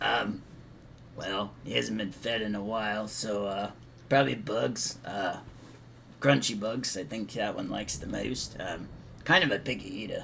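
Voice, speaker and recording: A man puts on a raspy character voice at a fairly low pitch, with ordinary pitch variation and a moderate pace. He takes long, frequent pauses, and background noise comes through clearly. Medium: actual play. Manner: casual, offhand.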